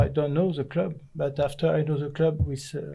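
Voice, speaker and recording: With a French accent, a man speaks in a fairly high, somewhat breathy voice of dark, mellow tone, with audible room echo around him. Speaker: football manager. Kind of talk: press conference. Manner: halting.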